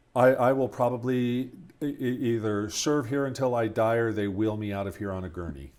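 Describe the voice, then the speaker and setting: The speech moves at a fairly quick pace with ordinary pitch variation. It is a very clean recording with a silent background. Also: man, medium pitch for a man. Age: 60s. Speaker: pastor. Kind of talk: casual interview. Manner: halting, repeats words.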